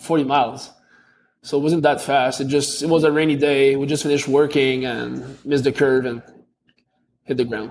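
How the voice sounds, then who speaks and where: A man with a Quebec accent speaks at a fairly high pitch and a moderate pace. His intonation is monotone and flat, with long, frequent pauses. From Quebec (Montreal), Canada. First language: French. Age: 20s. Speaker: athlete. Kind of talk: interview. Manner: halting.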